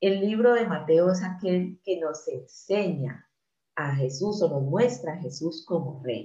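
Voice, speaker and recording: Very slow speech with lively intonation comes in a dark, mellow tone. The voice is somewhat breathy. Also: woman, fairly low pitch for a woman. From Colombia. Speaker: Bible teacher. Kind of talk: sermon.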